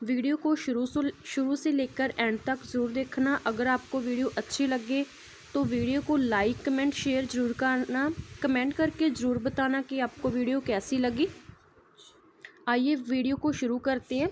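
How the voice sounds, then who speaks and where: A woman with a high pitch speaks at a very even loudness and with fairly even intonation. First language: Punjabi (speaking Hindi). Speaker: nursing teacher. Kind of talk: tutorial.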